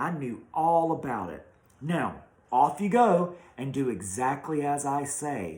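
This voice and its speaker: Whispering in a creaky, put-on character voice, a man speaks. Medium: read story. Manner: whispering, coaxing.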